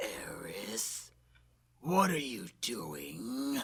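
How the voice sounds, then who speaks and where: A put-on character voice, raspy and menacing, at a low-to-middle pitch. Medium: video game. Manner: menacing, mocking.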